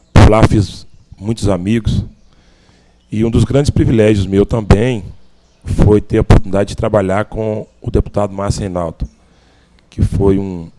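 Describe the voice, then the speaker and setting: A man with a dark, mellow tone and fairly low pitch talks at a moderate pace with fairly even intonation and long, frequent pauses. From Minas Gerais, Brazil (Cordisburgo). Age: 40s. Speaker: political candidate. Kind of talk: interview.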